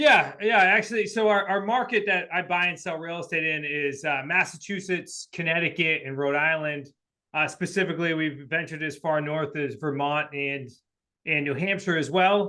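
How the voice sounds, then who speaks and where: A man with a New England accent speaks at a moderate pace in a high pitch. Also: ordinary pitch variation. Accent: New England accent, noticeable. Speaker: real estate investor and coach. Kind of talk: podcast interview. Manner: casual, filler-heavy.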